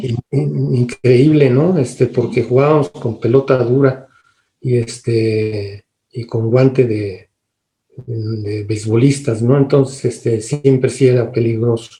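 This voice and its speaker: A man talks very slowly in a dark, mellow tone that is somewhat breathy. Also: medium pitch for a man, ordinary pitch variation. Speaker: radio announcer and host. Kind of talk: interview answer, life story.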